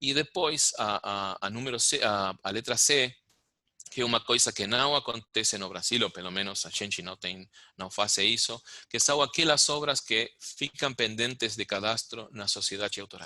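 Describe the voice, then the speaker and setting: Against a quiet background, a man with a Spanish accent talks at a moderate pace. His pitch is medium, with ordinary variation. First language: Spanish (speaking Portuguese). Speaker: music rights manager. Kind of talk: lecture. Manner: halting.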